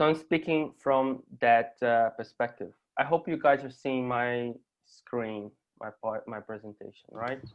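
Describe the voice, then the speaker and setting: In a Portuguese accent, a man speaks at a fairly slow pace with medium pitch, ordinary pitch variation and big swings in loudness. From Brazil. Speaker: artist and university lecturer. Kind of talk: conference presentation. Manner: halting.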